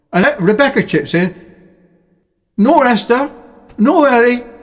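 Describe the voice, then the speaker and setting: A man with an extremely high pitch speaks fairly slowly with lively intonation, very even loudness, and long, frequent pauses. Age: 70s. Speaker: retired father and self-published author. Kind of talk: recounting a conversation; recorded phone conversation.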